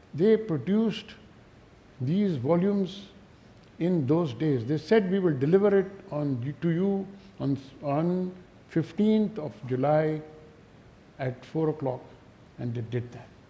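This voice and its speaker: In a room with audible echo, a man with a dark, mellow tone and a fairly high pitch speaks fairly slowly with lively intonation and long, frequent pauses. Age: 70s. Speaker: author. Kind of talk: speech. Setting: stage with audience.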